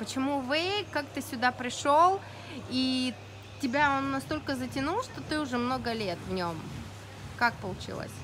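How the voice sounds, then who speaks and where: A high-pitched woman with lively intonation at a fairly slow pace, long and frequent pauses, over noticeable background noise. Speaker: interviewer at wake park. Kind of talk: interview questions. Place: waterside.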